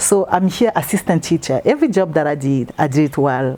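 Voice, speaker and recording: The speaker has a French accent and lively intonation. The pace is fairly quick. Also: woman. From Congo. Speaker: interviewee. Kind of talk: interview.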